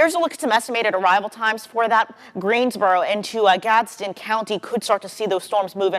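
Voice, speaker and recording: A woman's ordinary speaking voice at a fairly quick pace, with ordinary pitch variation. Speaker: TV meteorologist. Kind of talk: TV weather and severe storm coverage.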